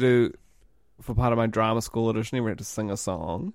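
Speaking at a medium pitch with a New Zealand accent, a man is heard in a very clean recording with a silent background. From New Zealand, Auckland. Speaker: podcast co-host. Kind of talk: casual chat.

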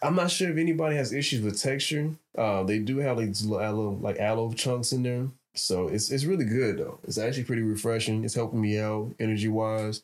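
Delivered at a fairly quick pace in a normal speaking voice with an American accent, the speech has ordinary pitch variation and very even loudness. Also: man, medium pitch for a man. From Chicago, South Side. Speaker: podcast co-host. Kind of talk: casual chat.

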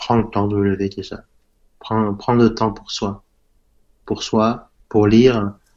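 His intonation is flat and monotone, and this man's pitch sits fairly low. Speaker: self-taught entrepreneur. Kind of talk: interview. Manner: halting, many fillers.

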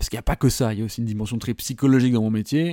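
At a very fast pace, a man speaks at a medium pitch with fairly even intonation in a dry, close sound with no echo. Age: 30s. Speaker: love coach and podcast host. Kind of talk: solo podcast monologue. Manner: casual, hesitant with fillers.

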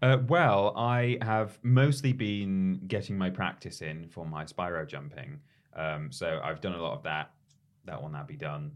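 A man speaks fairly slowly in a very deep, low voice that swings very widely in pitch. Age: 30s. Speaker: podcast co-host. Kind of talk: casual chat; news reading.

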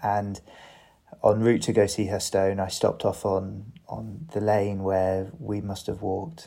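A dark, mellow voice with an English accent moves at a fairly slow pace with ordinary pitch variation. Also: man, fairly low pitch for a man. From England. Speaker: bereaved son. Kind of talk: casual chat. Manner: halting.

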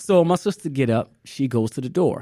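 A normal speaking voice from a man, medium in pitch, with lively intonation, a moderate pace and a very clean recording over a silent background. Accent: American. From US South, New Orleans, Louisiana. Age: 40s. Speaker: artist. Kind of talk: casual chat.

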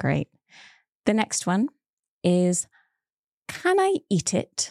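In a very clean recording with a silent background, a woman speaks at a very slow pace, the sound dry and close with no echo. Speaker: English teacher podcast host. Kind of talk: language lesson. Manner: clear, slow.

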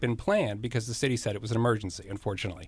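Someone speaks with an American accent in a somewhat breathy voice. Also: man. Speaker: former city councilman. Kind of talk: radio interview.

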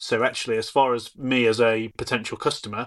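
Over a quiet background, a man with a British accent speaks at a medium pitch in a monotone, flat intonation. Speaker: podcast host. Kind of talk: interview conversation.

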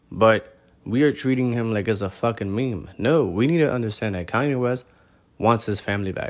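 A man's animated, medium-pitched voice at a moderate pace with ordinary pitch variation. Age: 30s. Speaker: podcast host. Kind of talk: casual solo monologue.

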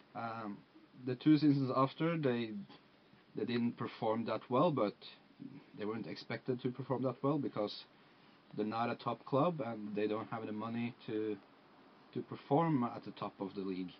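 Speech comes at a moderate pace with an ordinary amount of pitch movement. Long, frequent pauses break it up, in a Norwegian accent. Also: man, medium pitch for a man. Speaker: football fan and guest. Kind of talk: casual chat. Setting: video call.

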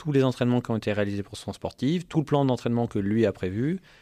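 Against a quiet background, a man speaks with lively intonation and a dark, mellow tone. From French Alps, Hautes-Alpes. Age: 30s. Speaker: sports tech entrepreneur, former athlete. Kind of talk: casual interview chat. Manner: hesitant, many fillers and repetitions.

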